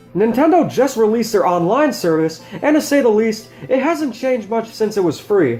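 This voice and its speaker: With music playing in the background, the speaker talks at a fairly quick pace in an American accent. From United States. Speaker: video game reviewer. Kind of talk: game review voice-over. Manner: casual, wry.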